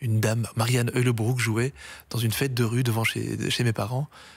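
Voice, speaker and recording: A man's somewhat breathy, medium-pitched voice in a dry sound with no echo. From Brussels, Belgium. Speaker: accordionist; guest. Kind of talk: interview. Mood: warm, reminiscing. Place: studio. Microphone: studio mic.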